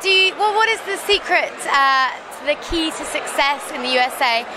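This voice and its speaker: A woman speaks in a raised, projected voice at an extremely high pitch and a moderate pace, with ordinary pitch variation. Audible room echo and background music fill the recording. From Devon, England. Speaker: tech blogger interviewer. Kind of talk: interview. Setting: industry conference.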